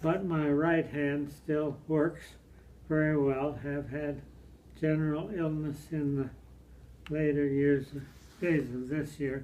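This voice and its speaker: Against audible room echo, a man with a fairly high pitch talks in a monotone, flat intonation at a very slow pace. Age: 80s+. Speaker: elderly father. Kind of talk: reading aloud. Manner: halting.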